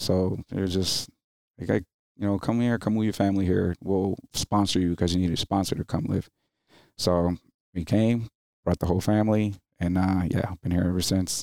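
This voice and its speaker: A man with an American accent and a very deep, low pitch speaks at a moderate pace in a dark, mellow tone, with fairly even intonation and very even loudness, on a very clean, dry, close recording with a silent background and no echo. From New Jersey. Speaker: Marine Corps veteran, investigator. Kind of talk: casual chat. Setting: martial arts studio. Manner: hesitant with fillers.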